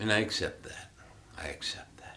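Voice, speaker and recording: A man whispers at a fairly slow pace. Audible room echo is present. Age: 60s. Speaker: Buddhist meditation teacher. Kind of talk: dharma talk. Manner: reflective, halting with fillers.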